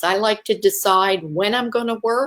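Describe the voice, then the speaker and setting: Speaking in a plain, everyday voice with an American accent, a woman has a fairly high pitch and ordinary pitch variation. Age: 60s. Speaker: network marketing entrepreneur. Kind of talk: live video sales pitch. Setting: livestream.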